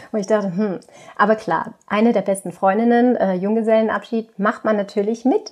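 Speaking at a moderate pace, a woman has a fairly high pitch and a monotone, flat intonation. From Austria, Tyrol. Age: 30s. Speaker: yoga teacher with multiple sclerosis. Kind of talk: interview. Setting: remote call from childhood bedroom.

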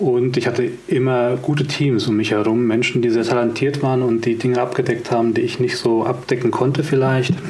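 Amid noticeable background noise and audible room echo, a man with a medium pitch speaks at a fairly quick pace, with hardly any pauses, very even loudness and fairly even intonation. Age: 40s. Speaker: communication coach. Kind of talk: casual chat.

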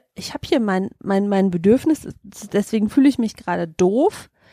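This woman speaks at a moderate pace, her intonation lively and her tone dark and mellow. The sound is dry and close, with no echo. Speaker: podcast co-host. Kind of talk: casual chat.

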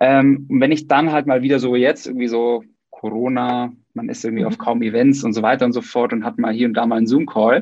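Here is a man with an ordinary speaking voice, medium in pitch. He talks at a fairly quick pace with fairly even intonation. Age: 30s. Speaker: podcast host. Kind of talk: casual interview.

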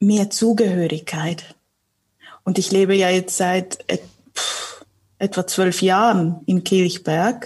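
Vocal fry colors a woman's speech, which has ordinary pitch variation. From Switzerland, Zurich area. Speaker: communications consultant and local community host. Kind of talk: casual interview conversation.

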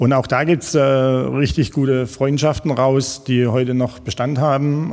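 An ordinary speaking voice moves at a fairly slow pace. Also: man. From Jagst valley, northern Baden-Württemberg. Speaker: former footballer. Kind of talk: casual chat.

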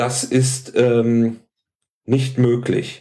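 A man talks at a medium pitch. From Hamburg, northern Germany. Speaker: health food shop salesman. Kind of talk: casual chat.

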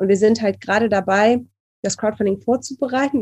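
A somewhat breathy woman's voice, fairly high in pitch, at a moderate pace with fairly even intonation. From Cologne, Germany. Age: 30s. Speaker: student, illustrator and publisher founder. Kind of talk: casual interview.

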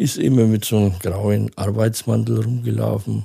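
A man speaks in a fairly low, somewhat breathy voice with a dark, mellow tone and ordinary pitch variation, recorded very cleanly with a silent background. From Franconia, Germany (near Nuremberg). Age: 60s. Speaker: interview guest with dwarfism. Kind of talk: casual interview.

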